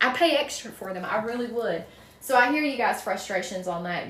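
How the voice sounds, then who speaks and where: A woman in a strong Southern US accent, with noticeable background noise and audible room echo. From North Carolina, US South. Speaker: wreath maker, crafts livestreamer. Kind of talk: casual livestream chat while crafting, answering viewer comments. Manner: chatty, folksy.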